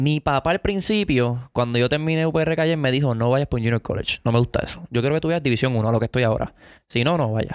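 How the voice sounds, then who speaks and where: A man speaks at a medium pitch in a normal speaking voice, with ordinary pitch variation and a dry, close sound with no echo. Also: very even loudness. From Puerto Rico. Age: 20s. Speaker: baseball player. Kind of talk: casual chat.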